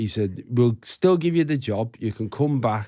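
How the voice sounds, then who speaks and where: A man with a Liverpool accent and a dark, mellow tone speaks at medium pitch and a moderate pace on a very clean recording with a silent background. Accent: Scouse. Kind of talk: casual interview talk.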